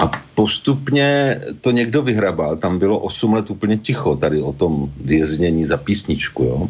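A man's fairly low voice at a very slow pace, full of very wide pitch swings. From Czechia, Pardubice. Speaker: botanist and Czech teacher. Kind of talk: interview.

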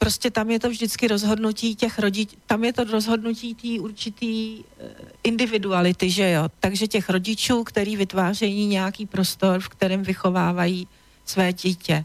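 Her medium-pitched voice keeps a moderate pace and fairly even intonation as the woman speaks. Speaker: tantra teacher. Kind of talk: radio interview. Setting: radio studio.

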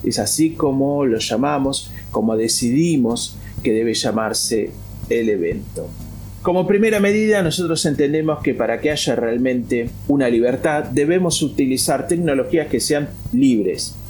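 Amid audible room echo and background music, a man with a fairly high pitch speaks fairly slowly, with lively intonation and very even loudness. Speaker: free software activist. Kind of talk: interview.

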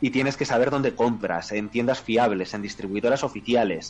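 Music plays in the background while a man at a medium pitch talks at a moderate pace with fairly even intonation. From Spain. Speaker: podcast co-host. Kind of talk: casual chat.

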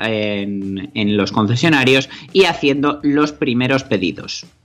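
Lively intonation marks this man's speech. He talks very slowly. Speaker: radio host. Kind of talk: casual chat.

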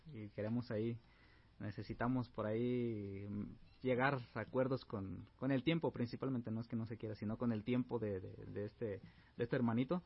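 This man has a medium-pitched, somewhat breathy voice with fairly even intonation. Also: moderate pace. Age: 30s. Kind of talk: interview.

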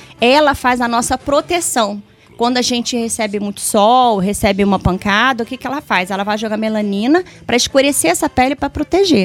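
This woman has an ordinary speaking voice, fairly high in pitch. She talks at a fairly quick pace with lively intonation. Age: 40s. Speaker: beautician. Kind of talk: casual chat.

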